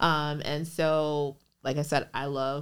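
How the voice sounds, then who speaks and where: A woman speaks with an American accent in a very deep, low voice. The recording is very clean, with a silent background. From Minnesota, US; Liberian family. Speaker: business attorney. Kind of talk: casual interview chat.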